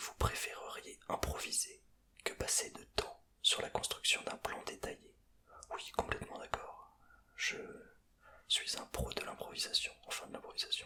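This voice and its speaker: A man whispering at a fairly slow pace, with long, frequent pauses and noticeable background noise. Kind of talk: ASMR personality test talk to camera. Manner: whispered, close to the microphone.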